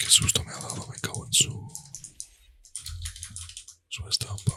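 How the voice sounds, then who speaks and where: A man's whisper in a relaxed tone at a fairly slow pace, with big swings in loudness. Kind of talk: casual talk to camera while gaming. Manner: soft-spoken, relaxed.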